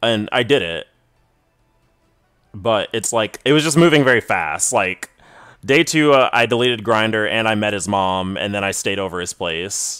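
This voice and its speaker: With music in the background, a man at a fairly low pitch talks at a moderate pace with lively intonation and long, frequent pauses. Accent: American. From Texas. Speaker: gaming streamer. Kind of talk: live gameplay stream chat. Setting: live stream at home. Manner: casual, lots of filler words.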